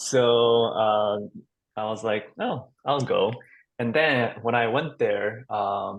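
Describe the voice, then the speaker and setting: With a Japanese accent, a man speaks very slowly at a medium pitch and with fairly even intonation. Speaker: actor. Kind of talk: roundtable discussion.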